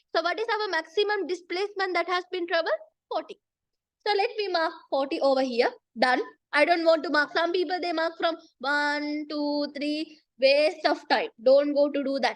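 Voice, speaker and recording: A woman speaks with an extremely high pitch, ordinary pitch variation and a moderate pace. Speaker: physics tutor. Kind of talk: lecture.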